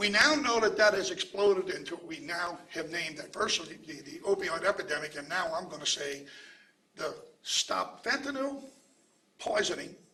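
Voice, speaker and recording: A raised, projected voice with very wide pitch swings, big swings in loudness and a moderate pace, amid audible room echo. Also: man, high pitch for a man. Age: 70s. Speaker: pharmacist and anti-opioid advocate. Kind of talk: press conference speech. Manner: repetitive filler 'okay', some stammering.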